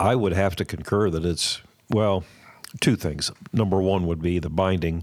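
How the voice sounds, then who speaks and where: A very deep, low-pitched male voice with an American accent, at a moderate pace and with fairly even intonation. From Columbus, Ohio. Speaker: guitar collector and museum docent. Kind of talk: casual chat.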